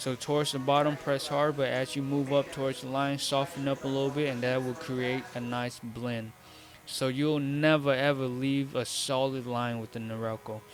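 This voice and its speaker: A man speaks at a moderate pace in a medium pitch, with a monotone, flat delivery. Music plays behind him. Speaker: barber. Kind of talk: tutorial. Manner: stuttering; casual, instructive.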